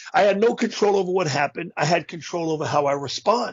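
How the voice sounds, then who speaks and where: At a fairly quick pace, a man with a high pitch speaks with ordinary pitch variation. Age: 60s. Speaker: motivational speaker. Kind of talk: interview.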